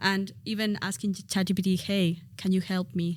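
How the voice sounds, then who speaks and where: A somewhat breathy woman at medium pitch with fairly even intonation, in a very clean recording with a silent background. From Spain. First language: Spanish. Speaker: education expert. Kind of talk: casual interview.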